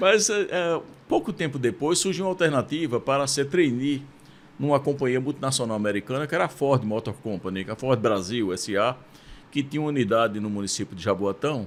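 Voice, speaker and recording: A man at medium pitch talks at a fairly quick pace. His pitch swings very widely. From Brazil, Pernambuco (Recife). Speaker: university rector. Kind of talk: interview conversation. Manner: hesitant, with fillers.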